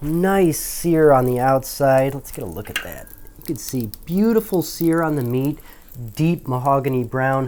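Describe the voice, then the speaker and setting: Pitched fairly high, a man speaks in an animated tone at a fairly slow pace with ordinary pitch variation. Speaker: cooking show host. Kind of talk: cooking tutorial.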